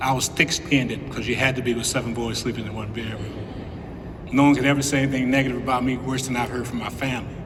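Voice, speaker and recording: A man with an American accent at medium pitch, very fast and monotone, amid noticeable background noise and audible room echo. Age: 60s. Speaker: former college basketball player, hall of fame inductee. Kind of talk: acceptance speech.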